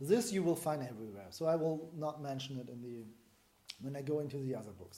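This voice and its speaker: Amid audible room echo, a man with a German accent speaks with lively intonation. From Germany. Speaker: breathing method teacher. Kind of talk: lecture. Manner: halting.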